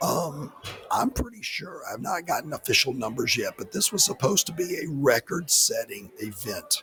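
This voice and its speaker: A man speaks quietly at a moderate pace. There is noticeable background noise. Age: 60s. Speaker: podcast host. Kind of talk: casual chat. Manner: quiet, hard to hear.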